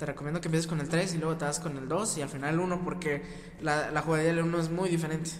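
Over noticeable background noise and audible room echo, a man talks at a very fast pace in a fairly high, monotone voice with flat intonation. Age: young. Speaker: podcast co-host. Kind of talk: casual chat. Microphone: poor audio quality.

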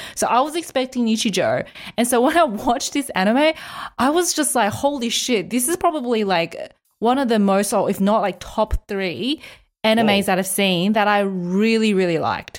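A woman speaks with a plain, everyday voice, pitched fairly high. Her intonation is lively, her pace moderate, and her loudness very even. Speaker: podcast host. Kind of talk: casual chat about anime.

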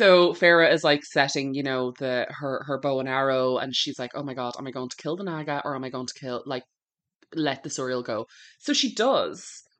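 In an Irish accent, a woman with a very deep, low pitch speaks at a moderate pace, with ordinary pitch variation and big swings in loudness, against a quiet background. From Ireland. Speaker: book podcast co-host. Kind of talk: casual chat.

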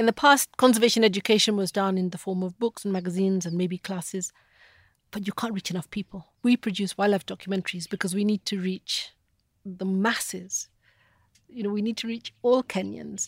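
A woman's somewhat breathy, medium-pitched voice at a fairly quick pace, with fairly even intonation and a dry, close sound with no echo. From Kenya, Nairobi. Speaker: wildlife conservationist. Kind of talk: interview. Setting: in Kenya.

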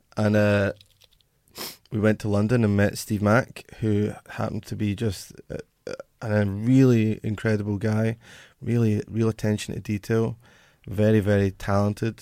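A man with a Glaswegian accent speaks in a fairly low, dark and mellow voice. His intonation is monotone and flat, broken by long, frequent pauses. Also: moderate pace, very clean recording, silent background. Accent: Glaswegian Scottish. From Scotland, Glasgow. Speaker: musician in a band. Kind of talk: casual interview chat.

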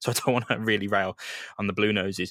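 This man talks at a fairly quick pace with fairly even intonation and a fairly bright tone, in a dry, close sound with no echo. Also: fairly low pitch for a man.

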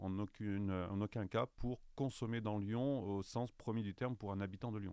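This man has an unremarkable speaking voice, fairly low in pitch, and he talks at a fairly slow pace. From France, Saint-Étienne. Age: 50s. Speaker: travel guide publisher sales director. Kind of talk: interview.

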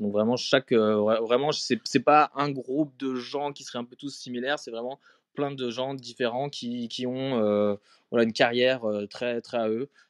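In an ordinary speaking voice, a man at a medium pitch talks at a moderate pace with fairly even intonation, the sound dry and close with no echo over a quiet background. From France, Strasbourg (Alsace). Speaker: photography curator. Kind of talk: casual interview. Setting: live audio chat room.

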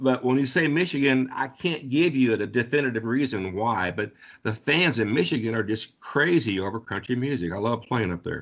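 An ordinary speaking voice from a man with an American accent, medium pitch, lively intonation and a moderate pace against a quiet background. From southwestern Ohio. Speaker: country singer-songwriter. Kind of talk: interview.

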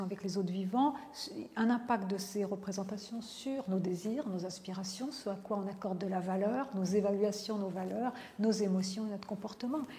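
With ordinary pitch variation, a woman talks at a medium pitch in an unremarkable speaking voice. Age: 50s. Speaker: philosopher and professor. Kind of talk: interview.

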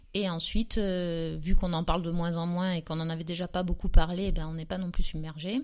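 A woman with an unremarkable speaking voice and a fairly low pitch talks with hardly any pauses. Her intonation stays fairly even while her loudness swings widely. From southern France, near Aix-en-Provence. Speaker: entrepreneur, former schoolteacher. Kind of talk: casual interview.

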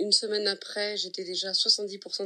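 Bright and sharp in tone, a woman talks with medium pitch at a fairly slow pace. The recording is very clean, with a silent background. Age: 30s. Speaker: patient sharing testimony. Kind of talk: testimony.

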